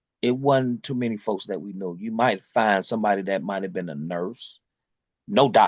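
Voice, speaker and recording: A man with a fairly low pitch speaks at a moderate pace, using ordinary pitch variation while his loudness swings a lot. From Detroit, Michigan. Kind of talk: oral history interview answer.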